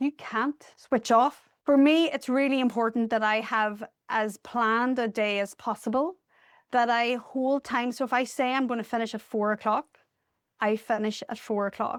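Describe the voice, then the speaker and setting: A woman with a Northern Irish accent speaks at a moderate pace, her pitch high and her intonation fairly even. The sound is dry and close with no echo, in a very clean recording with a silent background. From Northern Ireland. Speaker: charity deputy CEO. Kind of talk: podcast interview.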